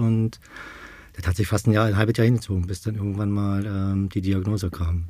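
A somewhat breathy man's voice at a moderate pace, with fairly even intonation. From Berlin, Germany. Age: 50s. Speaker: support group co-founder, stoma patient. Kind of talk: casual interview.

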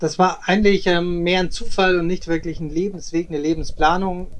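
A man talks at a moderate pace in a high pitch. The background is quiet. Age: 30s. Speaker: travel company director and former swimmer. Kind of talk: interview. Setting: remote recording. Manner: hesitant, many filler sounds.

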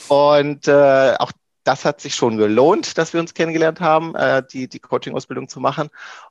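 A man with fairly high pitch and fairly even intonation talks at a moderate pace with big swings in loudness, in a dry, close sound with no echo against a quiet background. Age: 30s. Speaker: IT professional and coach. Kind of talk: interview conversation. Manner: hesitant, many fillers.

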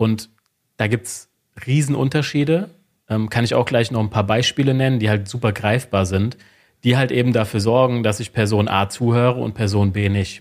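A man talks at a moderate pace with fairly even intonation and medium pitch, in a plain, everyday voice. The recording is very clean, with a silent background. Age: 30s. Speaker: sales psychology lecturer and consultant. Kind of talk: interview.

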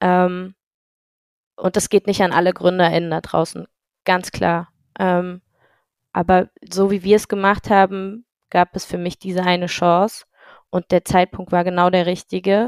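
A woman talks at a fairly slow pace and medium pitch with monotone, flat intonation, in a dry, close sound with no echo on a very clean recording with a silent background. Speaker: startup founder, former handball player. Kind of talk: podcast interview.

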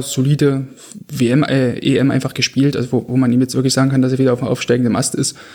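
Speaking at a very fast pace, a man keeps a medium pitch with monotone, flat intonation. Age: 20s. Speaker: goalkeeping coach and football analyst. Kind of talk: casual analytical podcast chat. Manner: hesitant, many fillers.

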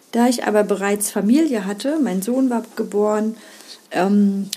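A woman's fairly high voice, with ordinary pitch variation, moves at a moderate pace against noticeable background noise. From East Germany. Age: 50s. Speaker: primary school teacher and podcast host. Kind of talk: solo podcast monologue.

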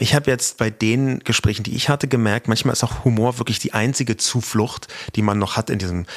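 This man's pitch is medium. He talks at a very fast pace. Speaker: podcast host. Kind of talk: casual chat.

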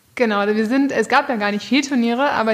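A woman's fairly high voice at a moderate pace, fairly even in intonation, with noticeable background noise. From northern Germany, near Bremen. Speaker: show rider. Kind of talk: interview.

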